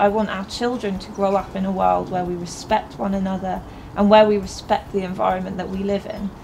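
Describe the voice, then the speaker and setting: A woman with a southern English accent talks at a fairly quick pace. Her intonation is fairly even over light background noise. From Milton Keynes, England; England. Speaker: local election candidate; election candidate. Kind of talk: campaign appeal. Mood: earnest, calm. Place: garden.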